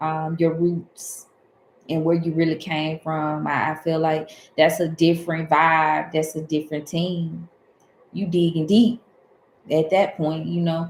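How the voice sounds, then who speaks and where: Speaking at a fairly slow pace in a southern Alabama accent, a woman uses a very deep, low pitch with monotone, flat intonation. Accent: Southern Alabama dialect, runs words together. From US South, Alabama. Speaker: tarot reader. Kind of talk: livestream casual talk. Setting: livestream.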